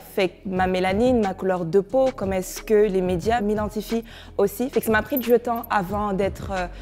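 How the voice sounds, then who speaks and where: Behind a woman's medium-pitched voice, noticeable background noise can be heard. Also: ordinary pitch variation, moderate pace. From Morocco, raised with French culture, born in Ivory Coast. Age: 20s. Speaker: interviewee. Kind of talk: personal testimony. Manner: reflective, with hesitations.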